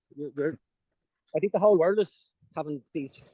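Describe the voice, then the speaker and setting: A man with an Irish accent at a moderate pace, ordinary pitch variation, and a dry, close sound with no echo. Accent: deep Irish. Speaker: fishing commentator. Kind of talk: live commentary.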